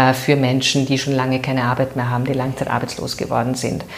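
Both audible room echo and noticeable background noise are present in the recording. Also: woman. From Vienna, Austria (Währing district). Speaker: political candidate, former NGO worker. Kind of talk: interview.

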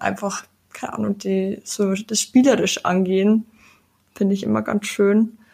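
A woman speaks at a medium pitch with fairly even intonation. Hers is an unremarkable speaking voice. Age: 20s. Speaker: sustainability activist. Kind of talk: casual chat.

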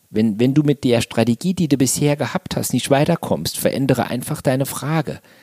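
A man talks at a fairly quick pace with hardly any pauses, his pitch medium with ordinary variation. The tone is dark and mellow, and the sound is dry and close with no echo. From Saarland, Germany. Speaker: motivational trainer. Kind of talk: interview.

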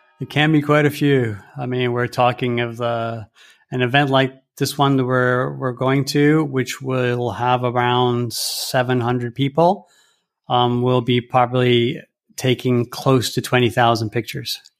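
In a very clean recording with a silent background, a man with a Canadian accent speaks at a fairly slow pace in a medium pitch with monotone, flat intonation. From Rome, Italy (Canadian family). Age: 50s. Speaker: bike tour company founder. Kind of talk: interview. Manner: hesitant, many fillers.

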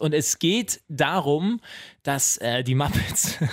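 The man's intonation is lively. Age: 20s. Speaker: new podcast co-host. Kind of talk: casual chat.

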